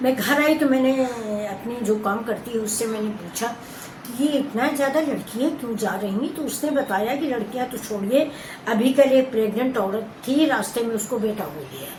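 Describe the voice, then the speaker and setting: Against noticeable background noise and audible room echo, a woman speaks at a fairly high pitch with ordinary pitch variation. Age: 60s. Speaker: cooking and lifestyle vlogger. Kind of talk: casual talk to camera.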